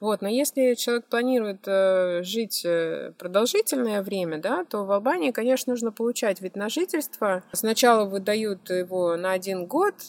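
A woman's ordinary speaking voice at a medium pitch and moderate pace, with ordinary pitch variation. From Russia, Moscow. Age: 30s. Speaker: blogger and photographer. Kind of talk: interview.

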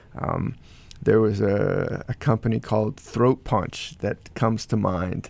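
A man speaks at a fairly slow pace in a fairly low pitch. His intonation stays fairly even. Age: 40s. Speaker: gym owner and martial arts apparel businessman. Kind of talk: interview. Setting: studio. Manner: halting.

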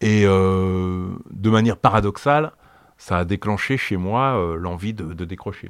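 Here a man speaks at a very slow pace. The recording is very clean, with a silent background. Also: fairly low pitch for a man, ordinary pitch variation. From France. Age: 60s. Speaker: activist, former heroin user. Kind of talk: testimony. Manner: halting, many repetitions and fillers.

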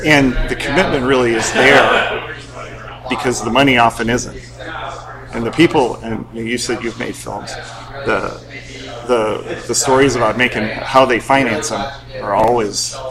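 A man speaks at a medium pitch and a fairly slow pace, with fairly even intonation, long, frequent pauses, and noticeable background noise. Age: 50s. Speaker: film festival board member. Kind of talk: interview. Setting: film festival venue.

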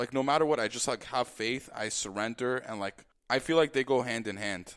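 In a normal speaking voice, a man talks at medium pitch and a fairly quick pace with ordinary pitch variation, on a very clean recording with a silent background. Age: 20s. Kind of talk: testimony. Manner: casual, lots of filler like.

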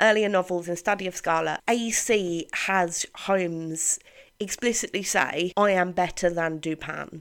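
On a very clean recording with a silent background, a woman with a British accent speaks with hardly any pauses. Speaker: podcast host and author. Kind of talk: casual chat. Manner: animated.

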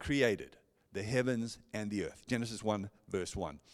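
A man with a South African accent on a very clean recording with a silent background. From South Africa, Johannesburg. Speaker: pastor. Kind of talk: sermon. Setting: church. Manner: warm, personable.

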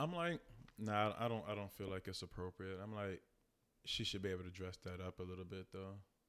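Over a silent background in a very clean recording, a man talks at a fairly quick pace with a fairly low pitch and fairly even intonation. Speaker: podcast co-host. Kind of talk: casual chat. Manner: soft-spoken.

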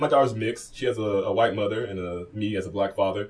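Somewhat breathy, a man speaks at a very fast pace with an American accent. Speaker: podcast co-host and DJ. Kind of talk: casual chat. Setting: studio.

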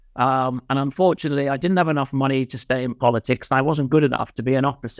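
A man with a Welsh accent at medium pitch, very fast pace, and fairly even intonation, in a dry, close sound with no echo and a quiet background. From Mid-Wales. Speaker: insolvency and restructuring consultant. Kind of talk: casual interview. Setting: video call.

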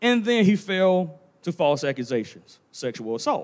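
Pitched fairly high, a man's voice swings very widely up and down. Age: 30s. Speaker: preacher. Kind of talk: sermon. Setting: church sanctuary.

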